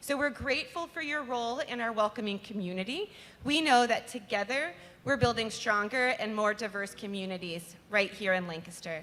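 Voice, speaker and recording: Loud, bright and sharp speech at a fairly quick pace with lively intonation. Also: woman. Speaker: nonprofit communications manager. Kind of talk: event welcome speech. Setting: live concert venue with audience.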